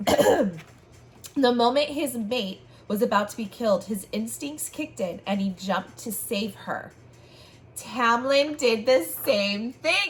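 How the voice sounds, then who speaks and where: A woman's hoarse, put-on character voice, fairly high in pitch, enthusiastic in tone and fairly slow in pace. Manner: enthusiastic, chatty.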